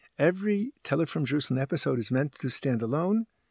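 On a very clean recording with a silent background and a dry, close sound with no echo, the voice is animated and somewhat breathy, with very wide pitch swings. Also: man. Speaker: podcast host and rabbi. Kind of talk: lecture-style podcast narration. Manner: formal, animated, didactic.

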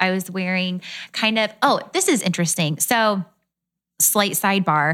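A woman's plain, everyday voice at a moderate pace, with lively intonation, in a very clean recording with a silent background. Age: 20s. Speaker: fashion blogger.

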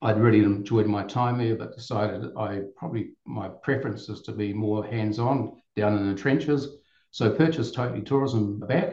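Speaking with a New Zealand accent, a man has a fairly low pitch, a dark, mellow, somewhat breathy tone and ordinary pitch variation at a moderate pace. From New Zealand, Auckland. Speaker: tourism business owner. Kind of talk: podcast interview.

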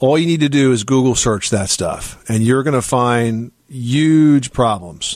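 Keeping his loudness very even, a man with an unremarkable speaking voice talks at a fairly slow pace and medium pitch with ordinary pitch variation. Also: hardly any pauses. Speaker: radio home improvement host. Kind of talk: call-in radio show.

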